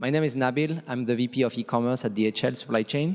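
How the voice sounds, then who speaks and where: A man with a French accent and fairly even intonation. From France. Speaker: panel moderator, logistics executive. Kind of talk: conference panel discussion. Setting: conference stage with audience.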